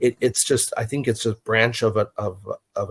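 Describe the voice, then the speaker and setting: Dry and close with no echo, in a very clean recording with a silent background, a man with an American accent speaks at a moderate pace in a medium, somewhat breathy voice. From New Mexico, US. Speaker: encounter witness. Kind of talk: interview.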